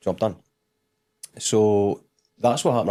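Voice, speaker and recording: With a Scottish accent, a man talks at a very fast pace and a fairly low pitch. His tone is dark and mellow, and his intonation fairly even. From Scotland, Dundee. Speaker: military veteran turned business guest. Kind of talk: casual interview chat.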